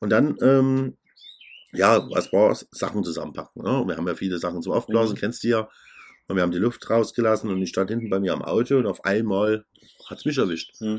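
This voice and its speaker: Fairly low-pitched male speech, fairly quick and with ordinary pitch variation, in a very clean recording with a silent background. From Saxony, Germany. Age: middle-aged. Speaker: DJ and podcast co-host. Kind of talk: casual chat.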